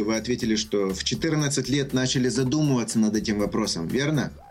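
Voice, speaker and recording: Music plays in the background as a man talks at a fairly quick pace with lively intonation. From Ukraine, Kyiv. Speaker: success coach. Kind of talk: radio interview.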